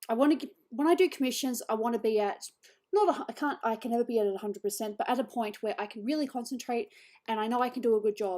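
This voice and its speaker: A woman's fairly high, dark, mellow voice with an Australian accent, very fast, ordinary pitch variation, very clean recording, silent background. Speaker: digital artist streamer. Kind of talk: casual chat.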